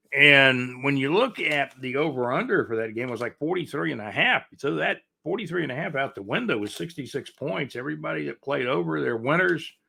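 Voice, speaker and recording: With an American accent, this speaker runs on with hardly any pauses in a bright, sharp tone, using vocal fry and very wide pitch swings. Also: man, medium pitch for a man. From US South, Jacksonville, Florida. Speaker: podcast host. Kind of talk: casual sports talk. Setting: live stream. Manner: fast.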